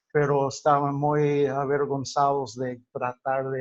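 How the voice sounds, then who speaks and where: With a non-native accent, a man speaks very slowly at a medium pitch, the sound dry and close with no echo. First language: English (speaking Spanish). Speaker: linguistics teacher. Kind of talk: lecture. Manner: halting, many fillers and self-corrections.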